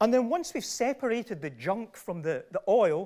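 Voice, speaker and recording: A man speaks with a Glasgow accent. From Scotland, Largs. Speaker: professor. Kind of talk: lecture.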